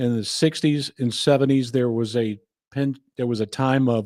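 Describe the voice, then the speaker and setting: Against a silent background in a very clean recording, a man with a normal speaking voice and an American accent talks at a medium pitch and a moderate pace. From California. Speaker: country music podcast host. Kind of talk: casual podcast commentary.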